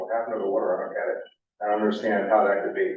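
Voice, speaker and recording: A man speaks with an American accent. There is audible room echo. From Cape Cod, Massachusetts. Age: 60s. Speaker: nonprofit executive director. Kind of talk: public presentation. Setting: community meeting in a library.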